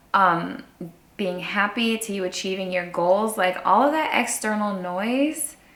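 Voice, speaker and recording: A woman's animated, medium-pitched voice at a fairly slow pace with ordinary pitch variation, audible room echo and noticeable background noise. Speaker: human design coach and sound healer. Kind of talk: casual vlog monologue.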